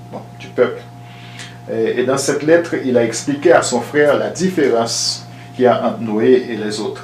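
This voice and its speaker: Over noticeable background noise and audible room echo, a man speaks at medium pitch and a moderate pace with ordinary pitch variation. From Angola. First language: not French (speaking French). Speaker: listener asking a question. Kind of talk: question to host.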